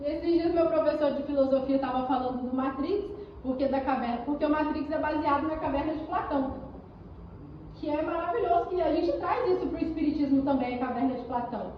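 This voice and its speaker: Animated and fairly quick, a woman speaks in a high voice with ordinary pitch variation, amid noticeable background noise and audible room echo. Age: 20s. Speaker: spiritist lecturer. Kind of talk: lecture.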